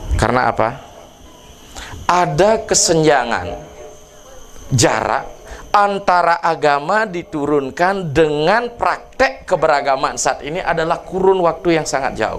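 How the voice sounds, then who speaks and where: A man talks at a fairly slow pace, his pitch high for a man and his intonation lively. Audible room echo and noticeable background noise surround him. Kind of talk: sermon.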